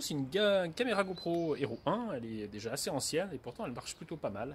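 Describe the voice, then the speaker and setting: Here a man talks at a fairly quick pace with very wide pitch swings. Light background noise can be heard. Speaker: travel vlogger. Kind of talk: casual vlog chat. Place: street. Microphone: phone near.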